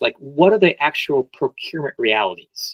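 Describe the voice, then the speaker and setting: A man with an American accent, recorded with a dry, close sound and no echo. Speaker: business sales consultant. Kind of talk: webinar presentation. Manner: hesitant, with many fillers.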